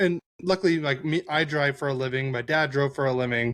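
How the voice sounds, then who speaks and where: The sound is dry and close, with no echo. A man talks at a fairly high pitch. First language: not English. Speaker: hockey podcaster, driver. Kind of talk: casual chat. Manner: halting.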